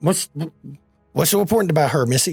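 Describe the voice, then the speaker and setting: At a very fast pace, a man does a raspy, put-on character voice pitched fairly high, with faint music in the background. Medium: actual play. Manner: stammering, fast, jittery.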